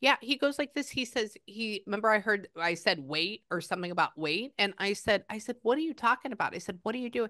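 A woman with an American accent talks at a very fast pace, animated, with lively intonation and hardly any pauses. Her fairly high pitch and bright, sharp tone stand out against a quiet background. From Texas. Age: 30s. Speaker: psychic medium. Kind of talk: psychic reading session. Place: home room. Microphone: lapel.

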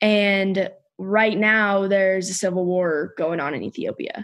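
With an ordinary speaking voice, a woman talks fairly slowly at a medium pitch, her intonation fairly even. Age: 20s. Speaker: former college gymnast. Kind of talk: casual interview conversation.

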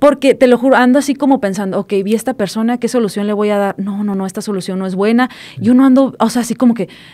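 A woman speaks very fast in a dark, mellow tone with ordinary pitch variation. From Mexico, Puebla (small town). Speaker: financial advisor, entrepreneur; podcast guest. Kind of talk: casual interview chat; interview answer. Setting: studio. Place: studio. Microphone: studio mic.

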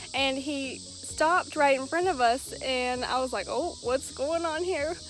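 Against light background noise, a woman speaks fairly slowly at a high pitch with ordinary pitch variation, the sound dry with no echo. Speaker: pet vlogger. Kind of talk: casual vlog chat. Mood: amused, cheerful. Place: open country. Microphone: phone near.

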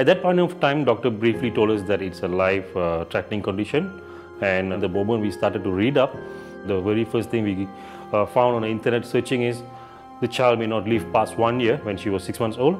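Over clear music in the background, a man talks at a fairly quick pace in a fairly low pitch. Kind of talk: interview answer. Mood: somber, reflective. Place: home room.

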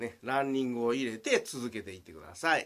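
A man talks at a moderate pace with a Kansai accent, captured in a very clean recording with a silent background. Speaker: swimming coach. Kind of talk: video tutorial. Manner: halting, full of fillers.

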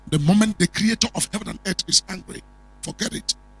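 With a Nigerian accent and a solemn tone, the speaker talks at a fairly quick pace over faint background music. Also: man. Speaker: prophet and preacher; preacher. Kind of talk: prophetic sermon with fervent, warning-filled declarations, ending in a blessing prayer. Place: studio. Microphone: handheld.

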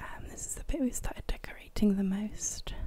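In a British accent, a woman is whispering. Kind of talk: ASMR gameplay commentary. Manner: whispered, soft-spoken.

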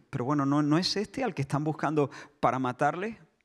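There is a quiet background as a man with a fairly high pitch speaks with ordinary pitch variation. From Spain. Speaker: pastor. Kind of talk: sermon. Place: church. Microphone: handheld.

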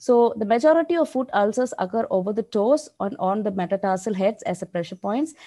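Against a quiet background, a woman with a dark, mellow tone speaks at a fairly quick pace with lively intonation and hardly any pauses. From India. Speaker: diabetes nurse educator. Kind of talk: lecture. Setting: video call. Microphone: video call.

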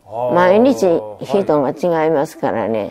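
Very wide pitch swings over faint music in the background. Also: woman. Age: 80s+. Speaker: midwife. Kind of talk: interview answer. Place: home room.

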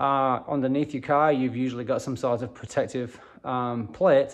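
A man at a moderate pace, fairly even intonation, quiet background. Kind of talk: tutorial. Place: garage. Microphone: phone near.

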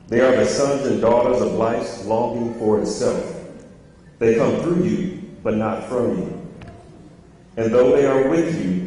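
A man talks fairly slowly with lively intonation, leaving long, frequent pauses. Strong echo fills the room. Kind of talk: formal public remarks and reading. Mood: solemn, consoling. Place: church.

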